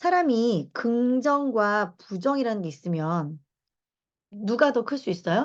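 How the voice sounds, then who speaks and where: Against a quiet background, a woman speaks in an animated tone with very wide pitch swings. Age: 40s. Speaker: lecturer and reading club leader. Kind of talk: lecture. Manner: conversational, animated.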